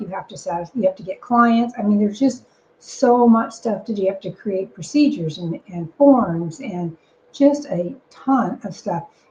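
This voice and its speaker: A woman talks at a moderate pace in a normal speaking voice. Her intonation is lively, and her loudness swings widely. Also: medium pitch for a woman. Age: 60s. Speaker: business operations consultant and podcast co-host. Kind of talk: podcast conversation.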